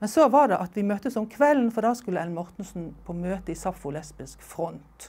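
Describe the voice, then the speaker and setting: A woman's dark, mellow voice moves at a fairly quick pace with hardly any pauses. Her intonation is lively and her loudness swings widely. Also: medium pitch for a woman. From Norway. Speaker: oral history interviewee; interviewee. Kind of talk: life story interview. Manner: halting, with fillers and repetitions. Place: home room. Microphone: lapel.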